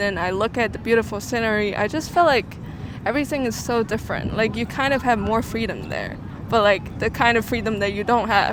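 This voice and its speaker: A woman's fairly high voice, with ordinary pitch variation, comes through noticeable background noise. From China. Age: 20s. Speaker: international student. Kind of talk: street interview. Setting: outdoors on the street. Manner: hesitant, many fillers.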